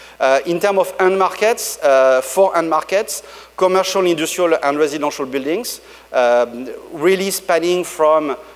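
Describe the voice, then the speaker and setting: Noticeable background noise accompanies a man with a French accent, whose fairly high voice moves at a moderate pace with ordinary pitch variation. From France. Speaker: tech company executive. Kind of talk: conference keynote. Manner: halting, many fillers.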